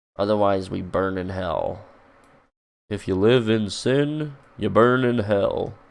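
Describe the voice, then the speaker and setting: A man is speaking. His pace is very slow. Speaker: streamer. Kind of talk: casual livestream chat.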